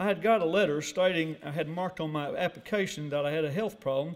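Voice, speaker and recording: A man's high-pitched voice with an Arkansas accent, very fast in pace, with ordinary pitch variation. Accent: Southern US, Arkansas. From US South, northeast Arkansas. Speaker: award recipient, businessman. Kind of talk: acceptance speech. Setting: breakfast banquet with audience. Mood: reflective storytelling. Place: hall. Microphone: podium.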